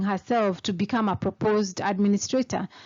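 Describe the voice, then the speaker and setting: A woman speaks in a Kenyan accent, somewhat breathy and fairly high-pitched. Her pace is moderate. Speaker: lawyer. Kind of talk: tutorial. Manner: casual explanatory.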